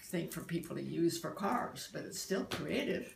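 A woman speaks over noticeable background noise. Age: 80s+. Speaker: artist, poet and meditation practitioner. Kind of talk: interview answer. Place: home room. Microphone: phone near.

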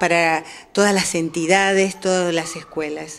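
This woman speaks at a very slow pace. Her pitch sits in the medium range, and her intonation is fairly even. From Argentina, Moreno (Buenos Aires). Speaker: newspaper director and teacher. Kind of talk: interview.

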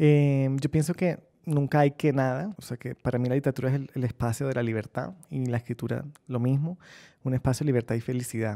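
At a fairly quick pace, a man speaks with a dark, mellow tone and fairly even intonation against a quiet background. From Colombian Caribbean coast, Barranquilla; Colombian Caribbean coast. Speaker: novelist; interviewee. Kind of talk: interview answers. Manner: reflective, with hesitations. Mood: relaxed, smiling, reflective. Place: studio.

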